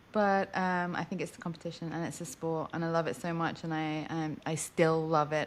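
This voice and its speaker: A woman with an American accent speaks at a fairly quick pace, her very deep, low voice held in a monotone, flat intonation. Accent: British with slight American twang. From England. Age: 40s. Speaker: racing driver. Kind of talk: interview.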